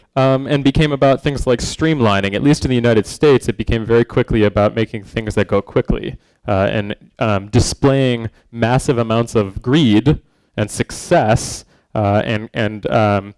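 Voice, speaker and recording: An ordinary speaking voice: a man at medium pitch with ordinary pitch variation and a moderate pace, in a very clean recording with a silent background and a dry, close sound with no echo. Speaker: design speaker / educator. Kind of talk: conference talk. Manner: many filler words (um, uh).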